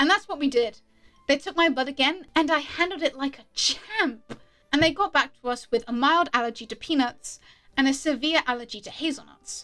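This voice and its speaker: A woman speaks in a high voice with a British accent. Her voice is raised and projected, with a bright, sharp tone. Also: ordinary pitch variation, moderate pace. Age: 20s. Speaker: YouTuber, storyteller. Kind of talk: storytime monologue while drawing. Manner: casual, conversational.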